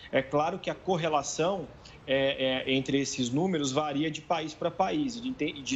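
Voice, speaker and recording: Speaking fairly slowly, a man uses a fairly high pitch that varies in an ordinary way. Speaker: international relations professor. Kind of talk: TV interview. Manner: hesitant, repeats words.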